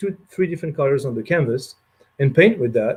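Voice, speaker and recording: A man's fairly high, somewhat breathy voice with a dark, mellow tone, a French accent and ordinary pitch variation. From France. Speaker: rum producer representative. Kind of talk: casual talk on a livestream. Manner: many hesitations and fillers.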